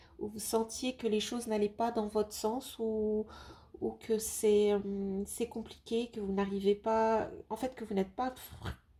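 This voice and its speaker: At a very slow pace, a woman talks at a fairly high pitch with fairly even intonation and a dark, mellow tone. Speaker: tarot card reader. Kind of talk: tarot reading video. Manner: hesitant, many fillers.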